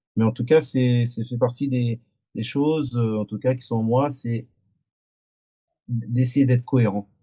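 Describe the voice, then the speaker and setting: Long, frequent pauses break up a man's fairly slow, monotone delivery with flat intonation. His medium-pitched voice is somewhat breathy, with a dark, mellow tone. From France, Antillean family. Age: 40s. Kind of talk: podcast interview testimony. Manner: halting, many hesitations and repetitions.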